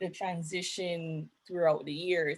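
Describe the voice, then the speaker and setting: A woman with a Jamaican accent speaks at a moderate pace. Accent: Jamaican, kept. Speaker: young professional panelist. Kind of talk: panel discussion.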